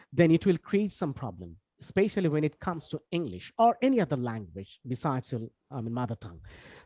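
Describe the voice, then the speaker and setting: Speaking at a very fast pace with a Bangladeshi accent, a man has a fairly high pitch, very wide pitch swings and a dark, mellow tone, in a dry, close sound with no echo. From Bangladesh, Khulna. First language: Bengali. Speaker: English language trainer. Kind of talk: online lecture. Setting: video call. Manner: many fillers and self-corrections.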